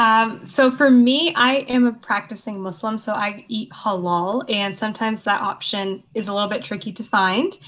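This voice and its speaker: Using an ordinary speaking voice with a Canadian accent, a woman speaks at a moderate pace with hardly any pauses, her pitch fairly high and its variation ordinary. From Canada, Hamilton, Ontario. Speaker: law student. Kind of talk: interview.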